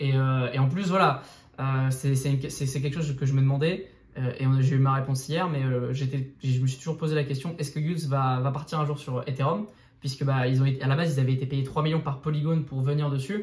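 A normal speaking voice, a man talks at a fairly quick pace with a fairly high pitch for a man. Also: fairly even intonation. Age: 20s. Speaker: crypto YouTuber. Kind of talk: casual interview.

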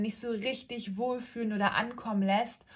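A woman speaks in a somewhat breathy voice with monotone, flat intonation, in a very clean recording with a silent background. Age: 30s. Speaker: real estate agent and podcast host. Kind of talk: casual monologue.

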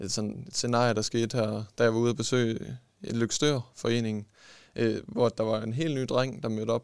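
Medium in pitch, a man speaks at a moderate pace. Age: young. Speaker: sports scientist and esports coach. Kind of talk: interview. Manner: halting.

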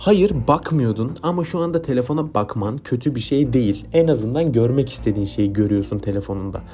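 Noticeable background noise beneath ordinary pitch variation. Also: man. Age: 20s. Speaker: podcast host and content creator. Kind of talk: improvised solo monologue. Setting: recording late at night. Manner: quiet, soft-spoken.

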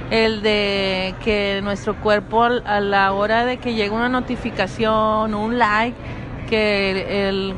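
A woman with a strong Monterrey accent speaks at a very slow pace and a fairly high pitch, her intonation monotone and flat. Noticeable background noise runs beneath her voice. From Monterrey, Mexico. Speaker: podcast guest. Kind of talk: casual chat. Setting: apartment recording.

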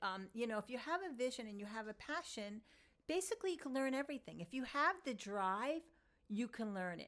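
A woman with an American accent and lively intonation. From New York, Long Island. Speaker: podcast host and yoga teacher. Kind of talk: solo talk on yoga philosophy.

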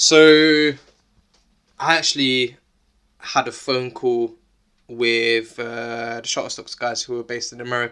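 Someone speaks at a fairly slow pace. The accent is London. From South London. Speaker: eyewear entrepreneur. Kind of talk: casual interview.

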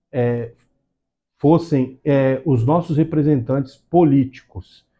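A man speaks fairly slowly at a medium pitch, with ordinary pitch variation. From Santos, São Paulo state, Brazil. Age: 40s. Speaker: civil firefighter and first aid instructor. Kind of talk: interview. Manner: halting.

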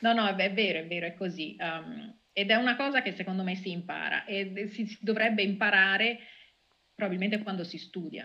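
This woman has a bright, sharp tone and a medium pitch. She talks at a moderate pace with fairly even intonation. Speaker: data scientist. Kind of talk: interview.

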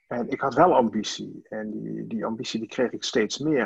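The recording is dry and close with no echo. A man speaks at a medium pitch with vocal fry. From Limburg, Netherlands (Sittard). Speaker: team coach. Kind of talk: interview. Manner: halting.

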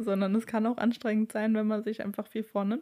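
The recording is very clean against a silent background. Her voice, a woman's, sits at a medium pitch. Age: 20s. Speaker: podcast host. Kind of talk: casual solo podcast talk.

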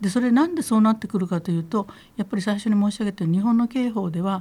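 A woman's dark, mellow voice at a medium pitch, somewhat breathy, with lively intonation and a very fast pace. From Kitakyushu, Fukuoka, Japan. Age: 70s. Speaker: feminist lawyer. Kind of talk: interview, conversational talk. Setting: radio studio.

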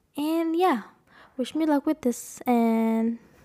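On a very clean recording with a silent background, a woman speaks at high pitch with a dark, mellow tone and ordinary pitch variation. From Indonesia. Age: 20s. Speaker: podcast host, design student. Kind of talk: casual solo monologue. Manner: animated. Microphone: new microphone.

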